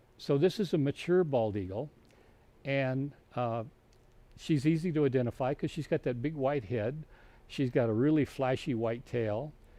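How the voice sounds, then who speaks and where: A man with an American accent speaks at a moderate pace in a medium pitch, his dark, mellow tone showing ordinary pitch variation, with long, frequent pauses against a quiet background. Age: 70s. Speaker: wildlife educator. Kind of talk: educational presentation. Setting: live virtual program. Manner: halting, repeats words often.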